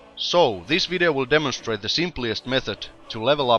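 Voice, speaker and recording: At a moderate pace and with ordinary pitch variation, the voice comes over music in the background. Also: man. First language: not English. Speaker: gaming video commentator. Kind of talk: game tutorial commentary.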